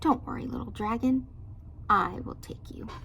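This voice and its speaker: A woman puts on a squeaky character voice, speaking at a moderate pace over clear background noise. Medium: read story. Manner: stammering, nervous.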